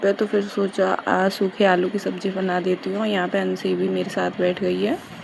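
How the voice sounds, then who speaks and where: A woman talks fairly slowly while background noise is clearly audible. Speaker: vlogger, mother. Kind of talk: vlog voice-over. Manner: casual, chatty.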